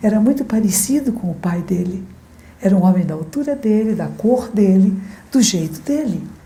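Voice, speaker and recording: Lively intonation at a moderate pace comes through with audible room echo and noticeable background noise. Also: woman, medium pitch for a woman. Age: 60s. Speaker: Zen Buddhist teacher. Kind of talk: dharma talk.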